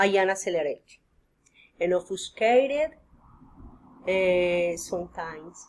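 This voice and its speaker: With a Spanish accent, a woman speaks at a fairly slow pace, with ordinary pitch variation and long, frequent pauses. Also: medium pitch for a woman. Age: 40s. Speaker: psychology student. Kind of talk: mock job interview practice. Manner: halting, hesitant.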